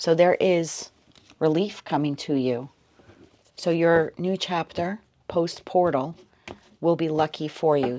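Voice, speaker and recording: Soft-spoken at a fairly slow pace, the voice comes through on a very clean recording with a silent background. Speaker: tarot reader. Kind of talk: tarot reading.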